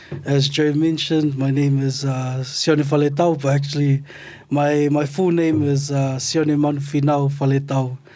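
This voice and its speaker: Over noticeable background noise, a man with a fairly high pitch speaks at a very even loudness in a monotone, flat intonation. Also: moderate pace. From Otara, South Auckland, New Zealand (Tongan family). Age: 30s. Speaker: artist and academic. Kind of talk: casual interview chat. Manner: hesitant, many fillers.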